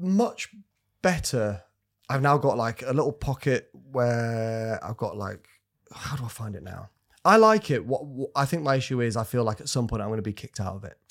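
Speaking with a Yorkshire accent, a man uses lively intonation and a medium pitch at a moderate pace, on a very clean recording with a silent background. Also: big swings in loudness. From Scarborough, Yorkshire, northern England. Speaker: comedian. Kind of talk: casual chat.

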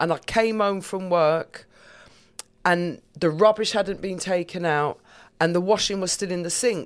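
A woman with a plain, everyday voice talks at a fairly slow pace and medium pitch, her intonation fairly even. The recording is very clean, with a silent background. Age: 50s. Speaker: comedian. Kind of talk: casual chat.

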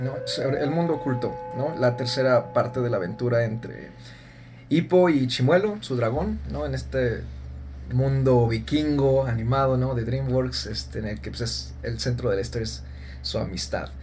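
A man talks at a moderate pace. There is audible echo in the room. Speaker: podcast host, film critic. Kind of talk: casual film discussion. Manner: formal announcer-like delivery.

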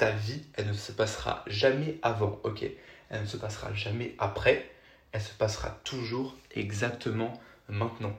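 Heard with audible room echo, a man speaks fairly slowly, his pitch fairly low and his intonation fairly even. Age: 20s. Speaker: podcaster and TikTok creator. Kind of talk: casual solo podcast monologue. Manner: halting, many fillers and self-corrections.

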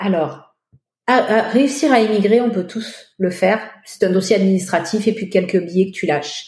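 A somewhat breathy woman's voice at medium pitch, with ordinary pitch variation and a moderate pace. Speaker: French immigrant in Quebec. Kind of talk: interview testimony.

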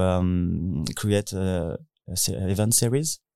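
Over a silent background in a very clean recording, a man speaks in a French accent with a dark, mellow tone. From France (Paris). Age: 20s. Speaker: DJ and techno producer. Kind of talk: interview. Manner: halting.

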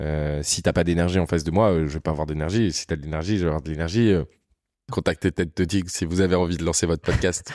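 Very fast speech from a man with a very deep, low pitch, in a very clean recording with a silent background. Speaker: content creator. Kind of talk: casual interview. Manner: animated.

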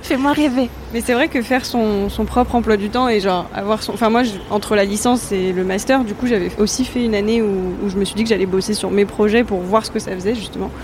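Over noticeable background noise, a woman talks at a fairly quick pace with a fairly high pitch and ordinary pitch variation. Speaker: intern and magazine writer, guest. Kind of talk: casual chat. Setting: live Twitch stream.

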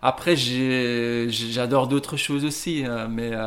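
A man's medium-pitched voice, fairly even in intonation, at a very slow pace. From Belgium, Ghent (Flanders). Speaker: coffee roaster. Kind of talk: interview. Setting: coffee roasting shop. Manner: halting, many repetitions and fillers.

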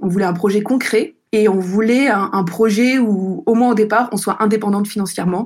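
A woman with an ordinary speaking voice, mid-range pitch, fairly even intonation and a moderate pace. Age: 30s. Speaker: entrepreneur. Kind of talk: testimony.

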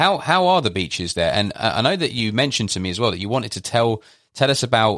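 Over a silent background in a very clean recording, a man speaks at a very fast pace in a medium pitch. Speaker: podcast host. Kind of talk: interview conversation.

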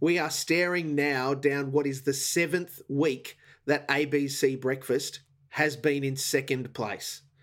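Very clean and silent in the background, this recording has a man with an Australian accent. He speaks at a very slow pace in a monotone, flat way. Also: fairly high pitch for a man. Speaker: TV ratings commentator. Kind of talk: casual chat.

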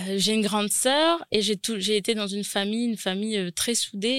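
A woman's ordinary speaking voice at medium pitch, with ordinary pitch variation, a moderate pace, and a dry, close sound with no echo. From New Caledonia, Nouméa. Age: 20s. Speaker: caterer and business owner. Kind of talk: interview. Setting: studio.

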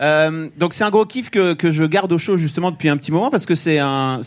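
An unremarkable speaking voice belongs to this man, pitched fairly high. His speech moves rather quickly, and the rise and fall of his pitch is ordinary. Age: 40s. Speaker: podcast co-host. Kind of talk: casual chat. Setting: stage with audience.

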